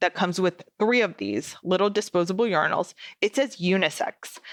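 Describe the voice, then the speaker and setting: The speaker has an animated tone, a moderate pace and ordinary pitch variation. The recording is very clean, dry and close, with no echo and a silent background. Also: woman. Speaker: podcast host. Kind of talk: casual podcast monologue. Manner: loud.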